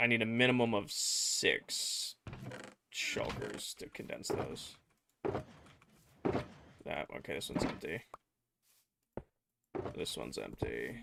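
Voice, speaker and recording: A man puts on a raspy character voice. He speaks very slowly, with long, frequent pauses. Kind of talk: casual gamer chat.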